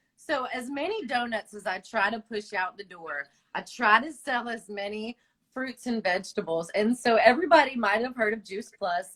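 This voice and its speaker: A woman speaks with a Southern accent, her pitch swinging very widely. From Long Island, New York and mountains of North Carolina. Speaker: small business owner and direct sales consultant. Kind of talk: casual interview. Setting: video call livestream.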